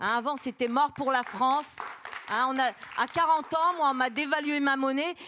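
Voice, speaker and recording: A woman's high, animated voice at a moderate pace, with crowd noise behind her. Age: 60s. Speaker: audience member. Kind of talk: audience question, impassioned remarks.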